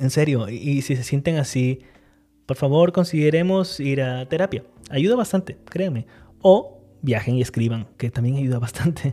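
A man's fairly high, somewhat breathy voice, dark and mellow in tone, at a moderate pace with ordinary pitch variation. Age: 30s. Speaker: writing podcast host. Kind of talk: solo podcast monologue on writing craft.

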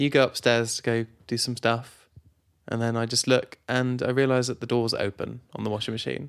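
The speaker has a British accent and a playful tone, moving at a moderate pace. The intonation stays monotone and flat. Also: man, medium pitch for a man. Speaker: podcast co-host. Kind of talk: casual banter between spouses. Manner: joking, playful.

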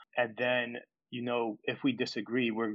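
This is a man speaking with an American accent. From US Northeast, New York. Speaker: aspiring sports podcaster. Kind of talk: casual chat. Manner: hesitant.

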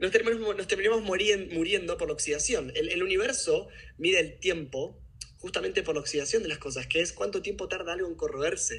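A man talks at a fairly quick pace in a Rioplatense accent. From Buenos Aires, Argentina. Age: 30s. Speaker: personal development workshop leader. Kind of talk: interview conversation.

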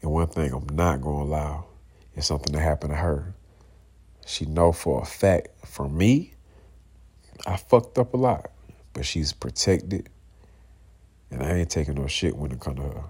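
Very deep and low in pitch, a man speaks at a moderate pace with vocal fry, ordinary pitch variation, and long, frequent pauses. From US South, Georgia (Clayton County, south Atlanta). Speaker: podcast host. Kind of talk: casual monologue. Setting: at home, in bed, late at night.

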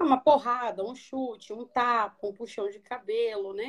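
A woman talks in a normal speaking voice at a fairly high pitch. She keeps a moderate pace with ordinary pitch variation. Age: 30s. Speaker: psychologist. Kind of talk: interview on a live stream.

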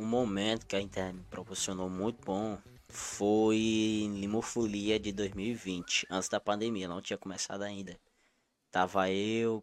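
A man with a Cearense accent, fairly low in pitch, with monotone, flat intonation. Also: very clean recording, silent background. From Ceará, Brazilian Northeast. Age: 20s. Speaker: content creator. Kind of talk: casual interview chat. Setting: studio, live stream.

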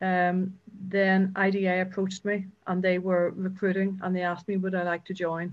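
A woman with a Northern Irish accent, medium-pitched, with monotone, flat intonation. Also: moderate pace. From Northern Ireland, County Down. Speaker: agency chief executive. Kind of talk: interview.

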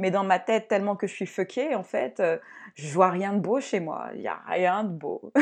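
A woman talks at a moderate pace. Her pitch is medium, and the background is quiet. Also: ordinary pitch variation. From France, Cameroonian heritage. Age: 30s. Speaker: personal development coach and podcast host. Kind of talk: solo podcast monologue. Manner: casual, halting with fillers.

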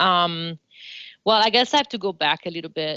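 At a moderate pace, a woman in an Italian accent uses a bright, sharp tone at a fairly low pitch with ordinary pitch variation, recorded dry and close with no echo over a quiet background. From Italy, Florence. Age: 40s. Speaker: dance professor and choreographer. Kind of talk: interview.

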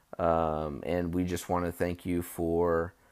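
A man speaks with a very deep, low pitch. The recording is very clean and the background silent. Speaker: podcast host and rideshare driver. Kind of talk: casual solo podcast. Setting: outdoors at a school. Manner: casual with many fillers.

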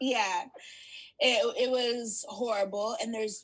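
A somewhat breathy woman's voice. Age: 20s. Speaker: HIV advocate and podcaster. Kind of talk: interview.

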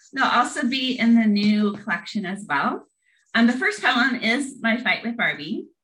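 Fairly high in pitch, a woman's voice carries a bright, sharp tone with a Midwestern US accent. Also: moderate pace. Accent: General American, Midwestern. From US Midwest, Lincoln, Nebraska. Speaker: poet and empowerment coach. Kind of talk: casual interview chat.

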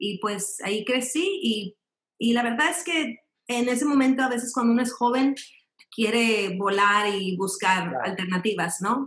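With lively intonation and a fairly slow pace, the speaker has an unremarkable speaking voice. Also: woman, fairly high pitch for a woman. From Mexico, raised in Mexico City and Monterrey. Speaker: ballet dancer and company director. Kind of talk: interview.

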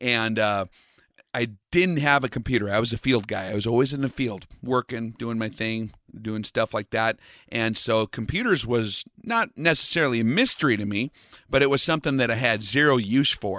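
With an American accent, a man talks at a moderate pace and medium pitch, his bright, sharp tone captured in a dry, close sound with no echo and ordinary pitch variation. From US, North Dakota. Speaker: long-range shooting instructor. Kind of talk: interview.

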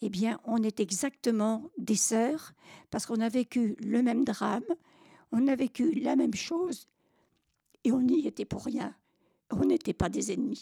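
A woman with a dark, mellow tone and vocal fry speaks with ordinary pitch variation and long, frequent pauses, in a dry, close sound with no echo. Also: fairly high pitch for a woman. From France, Normandy (Caen). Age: 80s+. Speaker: war witness. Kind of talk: testimony. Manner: halting.

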